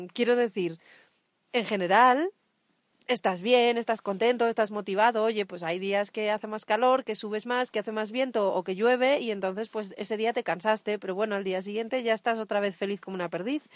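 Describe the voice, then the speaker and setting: An unremarkable speaking voice from a woman, fairly high in pitch, at a fairly quick pace with fairly even intonation, in a dry, close sound with no echo against a quiet background. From Asturias, northern Spain. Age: 30s. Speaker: cycle tourist podcast co-host. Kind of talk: casual chat. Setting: outdoors.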